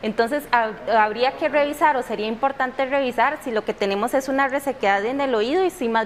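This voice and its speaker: A woman talks at high pitch and a fairly quick pace, with ordinary pitch variation and hardly any pauses. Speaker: audiologist. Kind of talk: TV interview.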